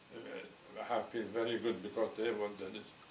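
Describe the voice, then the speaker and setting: With audible room echo, a man talks at medium pitch in a monotone, flat intonation. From Poland. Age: 80s+. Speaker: Holocaust survivor. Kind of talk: oral history interview. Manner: halting, repeats words.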